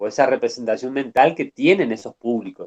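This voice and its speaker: Recorded dry and close with no echo, a man talks at a moderate pace with very wide pitch swings. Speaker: university lecturer. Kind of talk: online lecture.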